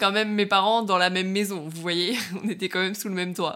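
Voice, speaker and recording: The recording is very clean, with a silent background. A woman speaks at a medium pitch in a bright, sharp tone, her intonation fairly even. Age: 20s. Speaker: podcast host, online fitness coach. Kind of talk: solo monologue podcast. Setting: alone in her bedroom.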